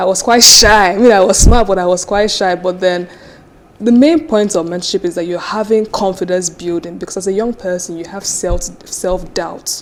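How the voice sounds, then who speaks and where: Speaking at a moderate pace with a Nigerian accent, the voice shows ordinary pitch variation over noticeable background noise. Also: woman, medium pitch for a woman. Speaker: business founder and CEO. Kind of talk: interview.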